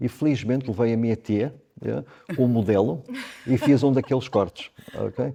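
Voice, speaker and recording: A man with a medium pitch and a dark, mellow tone talks with vocal fry and ordinary pitch variation. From Zimbabwe. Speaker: hairdresser. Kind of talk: podcast interview. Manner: halting, repeats words.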